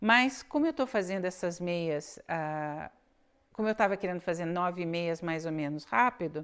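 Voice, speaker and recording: A woman with a Brazilian accent talks at a moderate pace, her fairly low voice lively in intonation. The background is quiet. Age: 60s. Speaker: knitting podcaster. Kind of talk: casual chat. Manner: halting.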